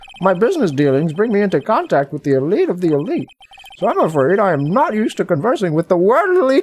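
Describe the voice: What we hear is plain reading aloud.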